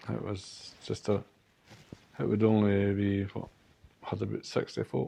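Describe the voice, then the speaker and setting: With a Scottish accent, a man talks at a fairly slow pace in a fairly low, dark and mellow voice, his intonation fairly even and his speech broken by long, frequent pauses. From Perth, Scotland. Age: 70s. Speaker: community worker. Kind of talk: interview answer.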